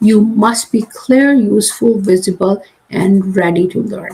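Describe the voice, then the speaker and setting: A woman's fairly high voice with ordinary pitch variation, an ordinary speaking voice. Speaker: career coach and class host. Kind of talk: live online class. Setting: livestream.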